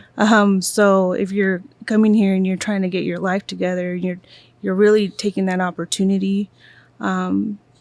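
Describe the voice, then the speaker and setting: In a very clean recording with a silent background, a woman with an American accent speaks at a moderate pace and medium pitch, her intonation flat and monotone. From Kansas City, Kansas. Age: 40s. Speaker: guest, immigrant. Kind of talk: casual podcast interview. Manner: halting, many fillers.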